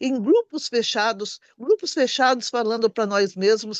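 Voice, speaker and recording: Against a quiet background, a woman with a fairly high pitch speaks at a moderate pace in a dry, close sound with no echo. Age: 60s. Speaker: party activist. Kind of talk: political meeting speech.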